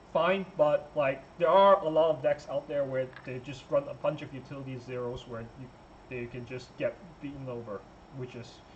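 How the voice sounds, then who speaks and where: A man with a medium-pitched voice talks at a moderate pace against noticeable background noise. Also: long, frequent pauses, big swings in loudness. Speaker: trading card game player. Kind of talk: casual talk to camera. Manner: hesitant, stuttering, many filler words.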